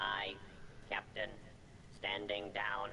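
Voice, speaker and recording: Through loud background noise, a man does a put-on character voice at a fairly low pitch. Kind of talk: acted.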